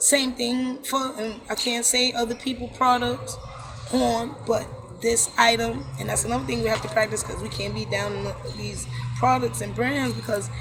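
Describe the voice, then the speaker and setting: A woman with an American accent at a moderate pace, amid noticeable background noise and audible room echo. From New York City (Brooklyn). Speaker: holistic wellness coach. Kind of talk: casual chat. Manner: loud and outgoing; animated.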